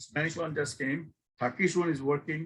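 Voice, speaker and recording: Speaking at a moderate pace, a man with a fairly high pitch talks in a Bangladeshi accent. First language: Bengali. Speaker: e-learning professor. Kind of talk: guest lecture. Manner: informal.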